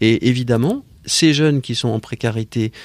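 A man speaks at a fairly slow pace, with a medium pitch and lively intonation. The sound is dry and close with no echo, on a very clean recording with a silent background. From Paris, France. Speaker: nonprofit founder. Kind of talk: interview. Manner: halting.

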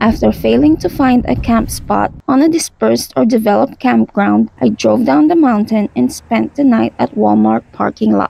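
A woman speaks at a moderate pace with very even loudness, in a dry sound with no echo. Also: hardly any pauses. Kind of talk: travel vlog voice-over narration.

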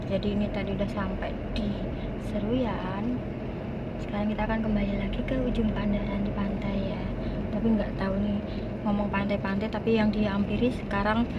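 Loud background noise surrounds a woman talking at a fairly quick pace. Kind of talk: casual vlog chat. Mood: relaxed, cheerful. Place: car. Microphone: phone near.

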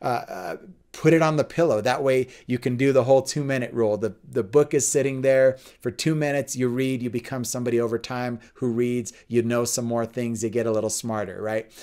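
A man talks at a fairly quick pace in a dark, mellow tone. His intonation is fairly even, and the background is quiet. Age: 40s. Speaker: pastor and fitness instructor; pastor, fitness instructor. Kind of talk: faith and fitness talk.

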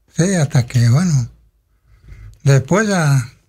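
Lively intonation from a man at a fairly slow pace. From Federación, Entre Ríos, Argentina; Entre Ríos, Argentina. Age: 60s. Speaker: local resident sharing life memories; radio interview guest. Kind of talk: radio interview, reminiscing. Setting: radio studio. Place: studio. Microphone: studio mic.

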